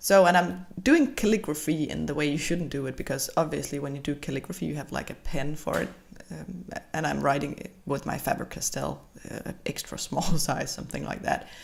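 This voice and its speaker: A woman talks at a fairly quick pace with a Danish accent. Her loudness swings widely. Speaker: bullet journal vlogger. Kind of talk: voiceover tutorial. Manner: halting.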